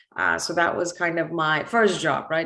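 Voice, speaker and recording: A woman with an American accent at a moderate pace and fairly low pitch, fairly even intonation and audible room echo. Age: 20s. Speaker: entrepreneur and motivational speaker. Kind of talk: conference talk. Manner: casual, many fillers.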